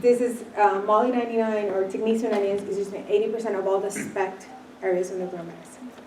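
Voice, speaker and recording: Over noticeable background noise, a woman with a medium pitch talks very fast in a flat monotone, her loudness swinging widely. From Puerto Rico. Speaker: company founder. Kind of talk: business presentation.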